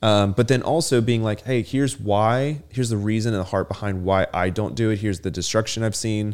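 On a very clean recording with a silent background, a man with a normal speaking voice talks at a fairly quick pace with hardly any pauses, in a fairly low pitch with ordinary pitch variation. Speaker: podcast co-host. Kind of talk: casual chat.

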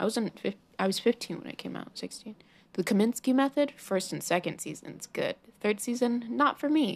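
Vocal fry runs through a woman's voice as she talks at a moderate pace with ordinary pitch variation. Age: young. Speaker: podcast host. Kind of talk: casual solo podcast monologue. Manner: rambling with many fillers.

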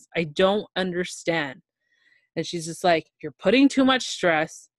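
The speaker has an ordinary speaking voice with a Canadian accent. The pace is fairly slow, with ordinary pitch variation. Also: woman. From Toronto, Ontario, Canada. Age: 20s. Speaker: guest sharing health story. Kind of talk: casual interview, personal testimony.

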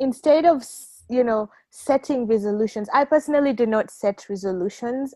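A woman's unremarkable speaking voice at a fairly slow pace, in a very clean recording with a silent background and a dry, close sound with no echo. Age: young. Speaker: volunteer and young professional. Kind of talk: casual chat.

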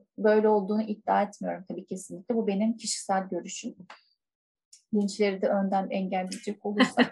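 Medium-pitched, somewhat breathy female speech, monotone and flat, at a fairly quick pace. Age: 20s. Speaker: school counselor. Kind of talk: casual chat.

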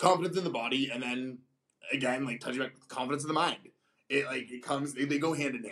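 The voice moves at a fast pace with ordinary pitch variation. Its tone is fairly bright, with a slightly husky edge. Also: man, medium pitch for a man.

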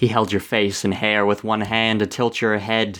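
What you hear is a natural reading voice.

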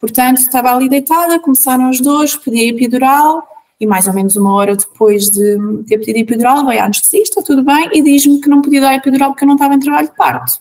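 A woman's high, lively voice at a very fast pace with hardly any pauses. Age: 30s. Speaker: mother sharing birth stories. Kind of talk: personal testimony.

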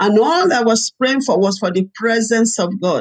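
Lively intonation marks this speaker's delivery in a Nigerian accent. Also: woman. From Nigeria, Ibadan. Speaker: pastor and evangelist. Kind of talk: testimony. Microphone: laptop.

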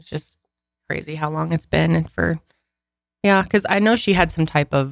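Her pitch swinging very widely, a woman speaks at a fairly quick pace with vocal fry. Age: 20s. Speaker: podcast co-host. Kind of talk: casual chat.

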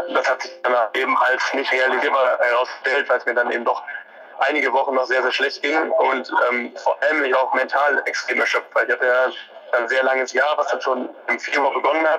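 Noticeable background noise accompanies a man talking fairly quickly. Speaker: professional marathon runner. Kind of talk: interview. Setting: phone call. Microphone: phone on speaker, connection-dependent quality.

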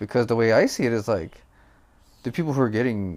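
Animated and lively in intonation, a man's medium-pitched voice carries vocal fry. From Filipino heritage. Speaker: podcast host. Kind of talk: casual chat.

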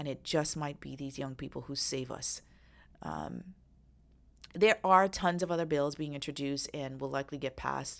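At a moderate pace, a woman speaks in an animated tone at a very deep, low pitch, with vocal fry, ordinary pitch variation and big swings in loudness. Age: 40s. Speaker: podcast host and attorney. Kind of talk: solo political commentary podcast.

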